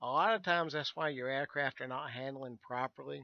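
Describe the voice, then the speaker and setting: A man speaks with a Southern US accent. His pitch is medium and his pace moderate. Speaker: virtual airline staff, flight sim instructor. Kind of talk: tutorial. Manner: casual, halting with fillers.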